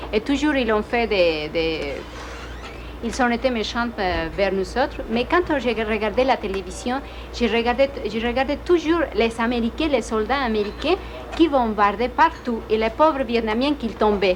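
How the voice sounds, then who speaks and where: This woman has a Spanish accent, a fairly high pitch and lively intonation. She speaks at a fairly slow pace over noticeable background noise. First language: Spanish (speaking French). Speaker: immigrant student. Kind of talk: interview; casual chat. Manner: halting.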